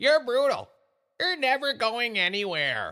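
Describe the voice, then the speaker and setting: Moving at a fairly slow pace, the put-on character voice holds a fairly high pitch. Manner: taunting.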